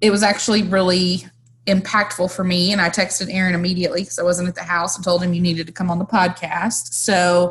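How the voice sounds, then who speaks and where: A somewhat breathy woman at medium pitch, with monotone, flat intonation. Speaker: podcast host. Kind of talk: podcast intro and outro.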